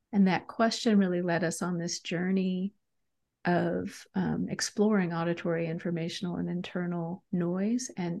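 An ordinary speaking voice with fairly even intonation, moving at a moderate pace. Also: woman. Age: 50s. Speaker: leadership coach and author. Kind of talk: interview.

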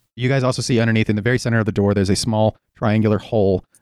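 Someone is reading aloud in a natural voice with fairly even intonation over a quiet background.

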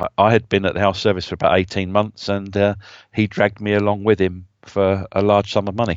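A man talks at a fairly quick pace. His pitch is fairly low and his intonation monotone and flat. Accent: southern English. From southern England, Brighton. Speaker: business intelligence consultant. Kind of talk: interview.

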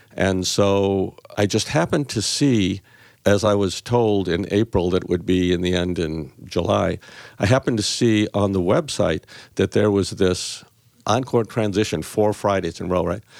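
A man with a normal speaking voice talks at a moderate pace and fairly low pitch, with ordinary pitch variation. His loudness is very even, and the recording is very clean with a silent background. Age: 60s. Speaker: retired physician, program fellow. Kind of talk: casual interview.

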